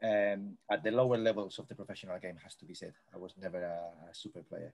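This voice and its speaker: A man with a Spanish accent talks at a fairly quick pace with ordinary pitch variation. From Spain, Madrid. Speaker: sports coaching professor. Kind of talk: interview. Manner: high energy.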